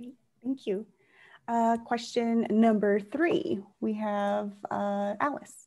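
A woman speaks very slowly in a dark, mellow, somewhat breathy tone, fairly high in pitch with ordinary pitch variation and big swings in loudness. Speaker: endorsement interview moderator. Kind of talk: political endorsement interview.

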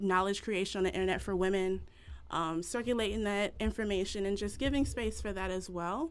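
Her pace is fairly quick. The woman's pitch shifts in an ordinary way. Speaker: event host. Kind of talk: event introduction. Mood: warm, grateful. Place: home room.

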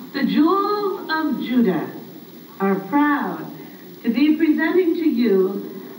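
A woman speaks at a high pitch. Light background noise and an audible room echo come through. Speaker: event host. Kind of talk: stage introduction. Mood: cheerful, warm. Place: hall. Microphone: camera far.

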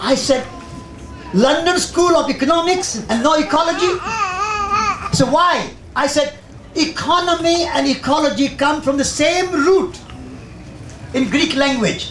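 With an Indian accent, a man speaks at an extremely high pitch and a fairly slow pace, showing ordinary pitch variation amid audible room echo and light background noise. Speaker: environmental magazine editor and speaker. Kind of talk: public talk. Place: tent. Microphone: handheld.

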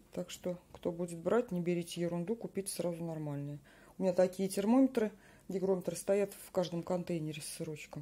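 A woman's fairly low voice, dark and mellow, with fairly even intonation, big swings in loudness and a fairly quick pace. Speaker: home cheesemaking vlogger. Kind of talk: tutorial. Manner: casual, chatty. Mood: relaxed, advising. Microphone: phone near.

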